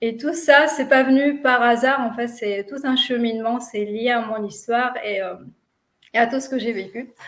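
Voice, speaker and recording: With a non-native accent, a woman speaks fairly slowly in a high voice, her intonation fairly even but her loudness swinging widely. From Tunisia. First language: not French (speaking French). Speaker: physiotherapist, lecturer and children's author. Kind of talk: interview. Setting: live video stream. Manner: hesitant, many fillers.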